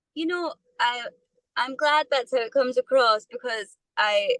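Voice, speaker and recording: The voice has a bright, sharp tone and ordinary pitch variation, captured in a dry, close sound with no echo. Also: woman. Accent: Scottish. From Scotland, Perthshire. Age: 20s. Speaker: musician. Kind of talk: interview.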